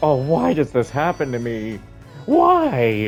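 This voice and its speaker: Over clear music in the background, a man uses a put-on character voice at medium pitch, a fairly slow pace and lively intonation. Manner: whiny, self-pitying.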